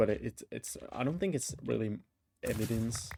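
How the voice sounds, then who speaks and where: Dark and mellow in tone, a man talks at a fairly slow pace in a fairly low pitch. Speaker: gaming YouTuber. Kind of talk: casual gameplay commentary. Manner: halting, many fillers and restarts.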